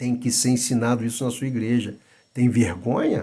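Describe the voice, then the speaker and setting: The man's voice has a dark, mellow tone, somewhat breathy, at medium pitch and a moderate pace. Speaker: Bible teacher. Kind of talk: lecture. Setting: at home. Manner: soft-spoken; halting.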